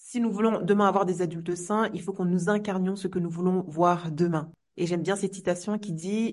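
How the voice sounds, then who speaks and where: The woman's intonation is monotone and flat. She speaks fairly quickly. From Comoros. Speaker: teacher and trainer. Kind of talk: podcast interview.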